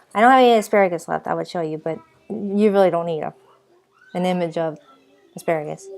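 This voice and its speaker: A woman with a Boston accent talks at a very fast pace with ordinary pitch variation, broken by long, frequent pauses. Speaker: vlogger. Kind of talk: casual vlog talk. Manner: rambling, hesitant with repeats; animated.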